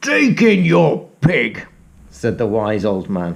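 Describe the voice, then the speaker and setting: In a put-on character voice, a man growls at a very slow pace, his medium pitch making very wide swings. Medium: read story.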